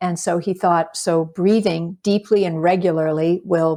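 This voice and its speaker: A woman speaks at a fairly slow pace in a fairly low pitch, with a dark, mellow tone. Her intonation is monotone and flat, and the recording is very clean with a silent background. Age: 60s. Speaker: documentary filmmaker. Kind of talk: interview. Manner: halting, with many fillers.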